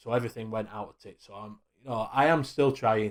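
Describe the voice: A man with a Yorkshire accent speaks at a fairly quick pace in a fairly low pitch. His intonation is fairly even and his tone slightly mellow.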